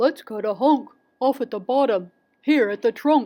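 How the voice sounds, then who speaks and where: A woman puts on a character voice with a high pitch. She keeps a moderate pace on a very clean recording with a silent background. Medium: read story.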